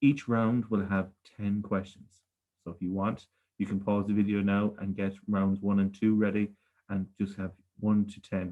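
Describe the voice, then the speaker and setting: A man with a Galway accent talks at a moderate pace in a flat monotone, his pitch fairly low and his tone dark and mellow. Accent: rural west of Ireland (Galway), noticeable. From Ireland, Galway. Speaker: primary school teacher, quiz master. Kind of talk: quiz presentation for children. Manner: friendly, measured, frequent 'okay' fillers.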